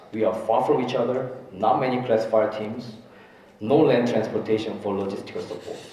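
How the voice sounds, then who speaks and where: A man with a Korean accent at a fairly quick pace, medium pitch and monotone, flat intonation, amid noticeable background noise and audible room echo. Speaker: disaster response official. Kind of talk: conference presentation.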